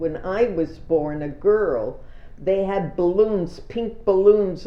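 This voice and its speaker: Audible room echo surrounds a woman speaking at a fairly slow pace. Her pitch is medium and her intonation fairly even. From Israel (emigrated from Canada at about age 5). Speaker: elderly interviewee telling her life story. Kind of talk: oral history testimony. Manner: halting.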